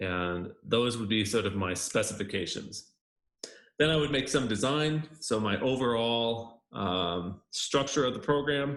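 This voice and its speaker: Speaking at a fairly slow pace, a man with an American accent uses lively intonation at a medium pitch. His is an ordinary speaking voice. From United States. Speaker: university lecturer. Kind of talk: lecture. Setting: screencast. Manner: casual, with frequent fillers.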